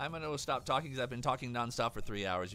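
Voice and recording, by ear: A man's put-on character voice, hoarse and very fast, at a medium pitch, with clear background noise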